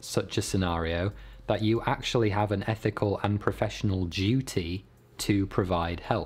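At a moderate pace, a man with a fairly low pitch and somewhat breathy voice speaks with fairly even intonation. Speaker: YouTuber. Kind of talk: storytelling vlog with explanations. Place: home room.

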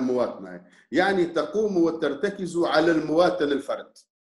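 A man's high voice at a fairly slow pace, with audible room echo over a quiet background. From Tunisia. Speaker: opposition politician. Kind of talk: interview. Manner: animated. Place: home room. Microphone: video call.

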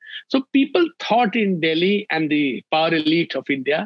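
A man speaks at a high pitch. The background is quiet and the sound is dry, with no echo. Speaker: remote interview guest. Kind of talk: interview answer. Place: home room. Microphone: video call.

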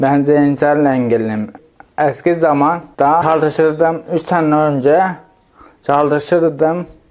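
With very even loudness, a man speaks very slowly in a fairly high voice. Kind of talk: interview answer.

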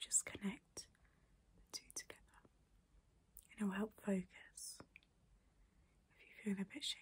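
Whispering in a calm tone, a soft-spoken woman is heard over light background noise. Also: moderate pace, big swings in loudness. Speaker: calming-content creator. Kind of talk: soft, reassuring guided talk, ASMR-like. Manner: soft, calm ASMR whisper. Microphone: phone near.

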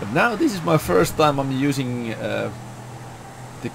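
A man with a Finnish accent speaks over noticeable background noise. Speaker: gaming youtuber. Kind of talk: gameplay commentary. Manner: animated.

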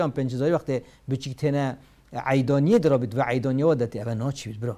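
A man's fairly high voice with a dark, mellow tone, very fast pace and ordinary pitch variation in a quiet background. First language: Kurdish (speaking Arabic). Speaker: Islamic scholar answering religious questions. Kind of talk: religious Q&A lecture. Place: studio. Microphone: lapel.

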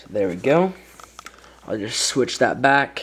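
A man's slow-paced voice at medium pitch, fairly bright in tone with a slightly husky edge and lively intonation

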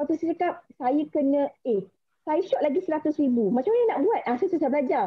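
A woman talks very fast in a high voice. Her pitch swings very widely while her loudness stays very even. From Malaysia. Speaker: insurance agent. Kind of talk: motivational talk. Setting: video call. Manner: nervous. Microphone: video call.

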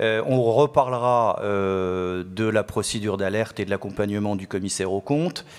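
This man has a fairly low pitch with ordinary variation. He keeps a moderate pace with hardly any pauses. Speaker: chartered accountant and auditor. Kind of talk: conference workshop presentation. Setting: conference hall with audience. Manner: halting, many hesitations.

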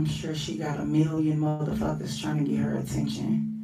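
A woman speaks with music playing in the background. Audible echo from the room surrounds her voice. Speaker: vlogger. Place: home room.

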